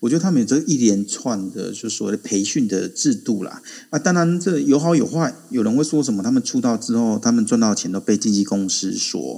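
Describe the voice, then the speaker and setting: The tone is dark and mellow, with lively intonation. The pace is fairly quick. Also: man. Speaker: adjunct assistant professor, Korea commentator. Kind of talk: casual chat. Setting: online audio room.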